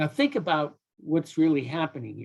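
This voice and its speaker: Here is a man with an American accent. His voice sits at a fairly high pitch. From upstate New York (Watertown). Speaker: investigation trainer. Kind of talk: lecture. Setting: video call.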